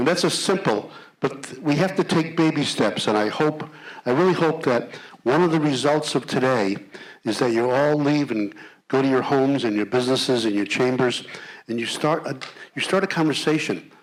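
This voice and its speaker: A man's fairly high voice with ordinary pitch variation at a moderate pace, over noticeable background noise. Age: 80s+. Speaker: panel moderator. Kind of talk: panel discussion.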